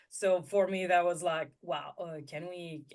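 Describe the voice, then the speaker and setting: A woman speaks with a French accent at a fairly low pitch. Her pace is fairly slow and her intonation fairly even. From France. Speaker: intuitive guide and content strategist. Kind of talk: interview.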